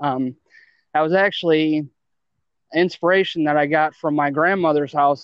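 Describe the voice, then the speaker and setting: With an American accent, this speaker talks at a moderate pace in a flat, monotone delivery. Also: man. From Ohio, Akron. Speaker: artist. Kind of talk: casual chat.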